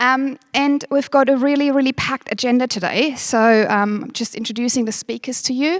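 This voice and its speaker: With a German accent, a woman talks at a high pitch with ordinary pitch variation and hardly any pauses. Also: moderate pace. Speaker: company manager, event host. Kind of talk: workshop opening speech. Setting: stage with audience, livestreamed.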